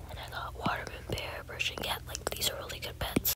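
Noticeable background noise surrounds a woman who speaks in a whisper. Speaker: ASMR creator. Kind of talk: ASMR gameplay rambling. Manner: soft whispering.

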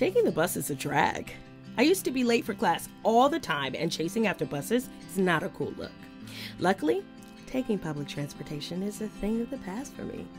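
Music plays in the background as a woman with an American accent talks at a fairly quick pace. Her medium pitch swings very widely. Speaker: voice actor. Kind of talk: TV commercial read. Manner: jovial, laid back, casual.

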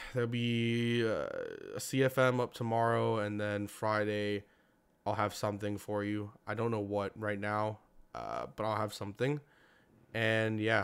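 Here a man speaks with a fairly low pitch at a moderate pace. His intonation is monotone and flat. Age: young. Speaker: sports YouTuber; sports channel host. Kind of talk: personal vlog monologue. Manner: halting. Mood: somber, hurt after school shooting. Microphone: studio mic.

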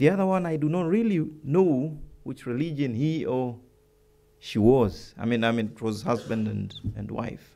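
The man has a dark, mellow tone. He speaks at a moderate pace with ordinary pitch variation. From Tanzania. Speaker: ambassador; keynote speaker. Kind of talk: keynote speech. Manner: unscripted, with frequent hesitations. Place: hall. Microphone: podium.

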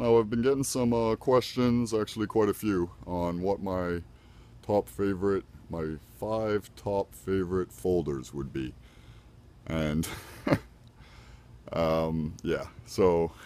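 Speaking at a very slow pace with long, frequent pauses, a man with a very deep, low pitch and a dark, mellow tone uses lively intonation, recorded dry with no echo. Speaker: knife collector. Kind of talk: casual talk to camera. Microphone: phone near.

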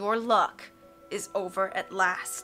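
Over clear music in the background, a female-sounding voice puts on a character voice at a middle pitch. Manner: menacing, terrible.

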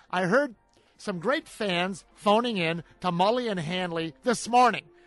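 Faint music plays behind a man speaking at a moderate pace, the sound dry with no echo. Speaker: show host. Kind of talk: sports talk commentary. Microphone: studio mic.

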